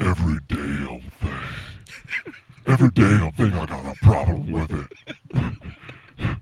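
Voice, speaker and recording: Putting on a character voice, a man speaks with a very deep, low pitch at a fairly slow pace, leaving long, frequent pauses. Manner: complaining, grumbling.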